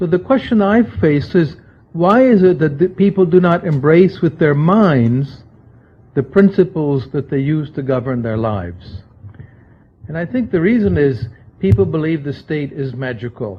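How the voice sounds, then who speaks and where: A man talks at a moderate pace in a fairly high, somewhat breathy voice. His pitch swings very widely. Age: 60s. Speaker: libertarian think-tank scholar, book editor. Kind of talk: lecture.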